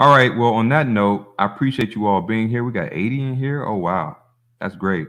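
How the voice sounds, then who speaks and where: A man speaks in an ordinary speaking voice at a medium pitch. His pace is moderate, and his pitch variation is ordinary. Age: 40s. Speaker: holistic health livestream host. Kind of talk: casual livestream chat reading comments. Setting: livestream on phone. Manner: casual, filler-heavy.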